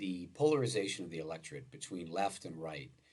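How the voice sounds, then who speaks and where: Audible room echo surrounds a man with an American accent whose very deep, low voice moves in very wide pitch swings. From US Midwest (Wisconsin). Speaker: law professor. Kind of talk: lecture. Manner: halting, many filler words.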